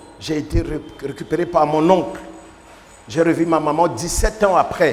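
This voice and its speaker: A man's fairly high-pitched, fairly slow voice amid audible room echo and noticeable background noise. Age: 60s. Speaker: bishop. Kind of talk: sermon.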